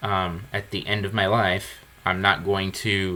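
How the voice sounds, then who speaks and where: Very deep and low in pitch, a man speaks in a bright, sharp tone with monotone, flat intonation. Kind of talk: podcast conversation.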